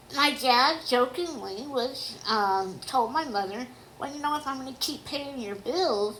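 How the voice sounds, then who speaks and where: Audible room echo surrounds a woman speaking at a moderate pace. Her pitch is high. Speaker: autobiographical storyteller. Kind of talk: personal memoir narration. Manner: careful articulation due to deafness.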